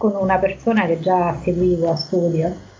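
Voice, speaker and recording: Over noticeable background noise, a woman speaks fairly slowly at a fairly low pitch with fairly even intonation. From Lazio, province of Viterbo. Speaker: psychologist. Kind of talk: casual interview chat. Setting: remote call from a country house.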